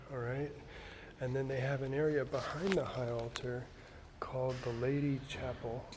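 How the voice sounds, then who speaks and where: A man's medium-pitched, flat, monotone voice at a moderate pace, with audible room echo and noticeable background noise. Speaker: church video host touring a cathedral. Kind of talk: video tour narration. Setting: inside a cathedral, filming on site. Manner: casual, with fillers; quiet.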